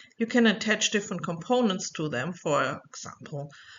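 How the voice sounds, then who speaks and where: A woman speaks with a German accent. Her pace is moderate. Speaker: researcher and educator. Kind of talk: online course lecture. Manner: clear, scripted.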